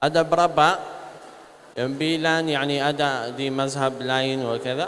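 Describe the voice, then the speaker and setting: With an Arabic accent, a man speaks at a very slow pace and leaves long, frequent pauses. His intonation stays fairly even. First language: Arabic (speaking Indonesian). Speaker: religious speaker, sheikh. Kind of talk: religious talk to students. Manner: halting.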